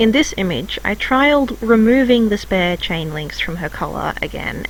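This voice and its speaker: A woman speaks with lively intonation. Noticeable background noise sits behind her. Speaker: hobby artist and video creator. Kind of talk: scripted narration.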